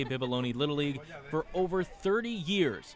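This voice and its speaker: Very wide pitch swings from a man with a fairly high voice, music in the background. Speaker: sports host and reporter. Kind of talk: news package narration.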